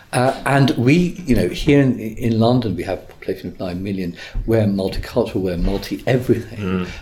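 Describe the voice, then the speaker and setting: A man with an English accent speaks at medium pitch with a dark, mellow, somewhat breathy tone. His pace is fairly quick and his intonation lively. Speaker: barrister. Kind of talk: interview.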